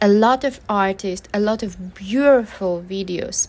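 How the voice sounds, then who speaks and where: A woman with a non-native accent speaks at a fairly slow pace and a fairly high pitch. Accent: foreign accent, self-described. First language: not English. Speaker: artist vlogger. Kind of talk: casual vlog monologue. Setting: outdoors in a park. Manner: hesitant, with many fillers.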